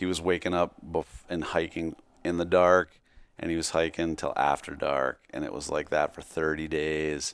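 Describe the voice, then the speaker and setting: This man has a very deep, low pitch with vocal fry, delivering his words in a monotone, flat intonation at a moderate pace. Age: 50s. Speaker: clothing company founder. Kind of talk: casual chat.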